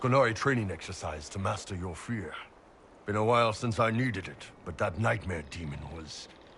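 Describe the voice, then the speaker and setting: A man uses a put-on character voice at a fairly low pitch. He talks at a moderate pace with lively intonation and big swings in loudness. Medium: video game. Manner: gruff, blunt.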